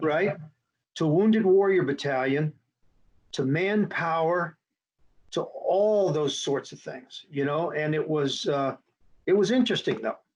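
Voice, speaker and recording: A man speaks in a high pitch with ordinary pitch variation. His pace is fairly slow, broken by long, frequent pauses. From military family, moved around; born in Texas. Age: 60s. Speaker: retired general and military aviator. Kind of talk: interview. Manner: casual, repetitive filler words.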